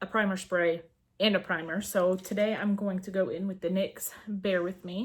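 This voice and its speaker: With an American accent, a woman talks in an ordinary speaking voice at medium pitch, a moderate pace, and fairly even intonation. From Georgia, US. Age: 30s. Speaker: beauty vlogger. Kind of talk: casual talk to camera.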